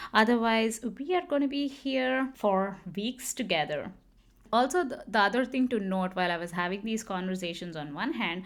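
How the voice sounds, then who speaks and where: A woman with a Kannada accent speaks at a moderate pace in a fairly high pitch, her voice swinging very widely, on a very clean recording with a silent background. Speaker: podcast host. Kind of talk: personal storytelling monologue. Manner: animated.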